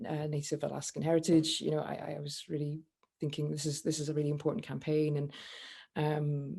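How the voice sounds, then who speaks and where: In a Scottish accent, a woman speaks with a very deep, low pitch, a dark, mellow tone and monotone, flat intonation. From Scotland. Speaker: campaigner. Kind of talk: panel discussion. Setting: video call. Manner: halting, many fillers.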